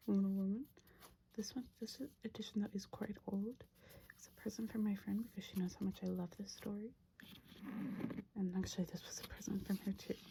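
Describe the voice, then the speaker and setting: A woman whispers in a soft-spoken way. Her voice is somewhat breathy. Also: moderate pace. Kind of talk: ASMR room tour, casual talk to camera. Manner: whispered, soft-spoken.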